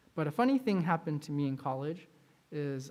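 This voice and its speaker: Talking at a fairly quick pace with lively intonation, a man with a plain, everyday voice and fairly high pitch is heard on a very clean recording with a silent background. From US, Chinese-American second generation. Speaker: pastor. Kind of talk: sermon.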